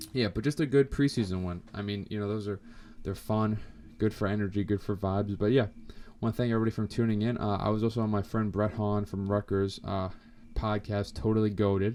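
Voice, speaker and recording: The voice is dark and mellow in tone and moves at a fairly quick pace. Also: man, fairly low pitch for a man. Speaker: sports podcast host. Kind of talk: casual podcast commentary. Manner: fast; animated.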